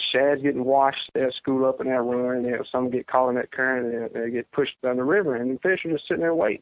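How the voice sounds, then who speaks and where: Man with a Louisiana accent, medium-pitched, at a very fast pace with hardly any pauses. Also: ordinary pitch variation. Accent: Southern US (Louisiana). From Central Louisiana, US South. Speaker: professional bass angler. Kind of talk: interview, casual chat.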